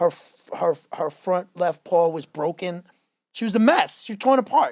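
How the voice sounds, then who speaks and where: A man with a high voice talks at a moderate pace with ordinary pitch variation, the sound dry and close with no echo. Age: 40s. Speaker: fitness trainer. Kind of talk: casual chat. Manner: animated.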